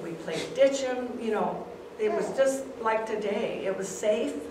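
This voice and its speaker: Against noticeable background noise and audible room echo, a woman with an American accent speaks at a very slow pace. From Clarkdale, Arizona, USA. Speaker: retired teacher. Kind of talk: oral history presentation. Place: hall. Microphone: camera far.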